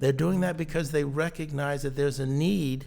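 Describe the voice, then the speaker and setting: A man speaks with an American accent at a fairly high pitch for a man. Audible echo fills the room. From Connecticut, US. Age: 60s. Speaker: business consultant. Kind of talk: interview. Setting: studio. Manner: halting.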